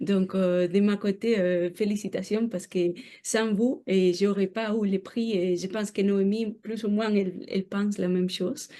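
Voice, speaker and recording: A woman with a non-native accent speaks at a fairly slow pace in a medium pitch with fairly even intonation, over a quiet background. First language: not French (speaking French). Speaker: researcher. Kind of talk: lecture. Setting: seminar room with audience. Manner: halting, many hesitations.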